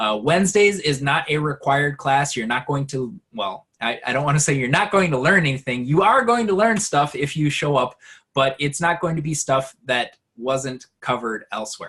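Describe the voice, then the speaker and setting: A man's fairly high voice, bright and sharp in tone, with lively intonation. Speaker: online programming instructor. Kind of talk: live online class. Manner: fast.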